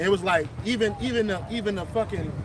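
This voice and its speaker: The voice is loud and fairly quick, with noticeable background noise. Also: man. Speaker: religious street preacher. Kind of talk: casual religious discussion. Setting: outdoors, public place.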